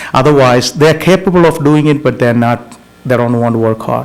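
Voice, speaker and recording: With noticeable background noise behind him, a man with a non-native accent talks at a moderate pace and with ordinary pitch variation. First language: not English. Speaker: school board trustee. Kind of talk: board meeting discussion. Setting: public board meeting. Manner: halting.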